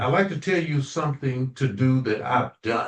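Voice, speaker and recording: A man's somewhat breathy voice holds a medium pitch and moves at a moderate speed. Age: 70s. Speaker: natural health consultant, minister. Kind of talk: casual chat. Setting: community call.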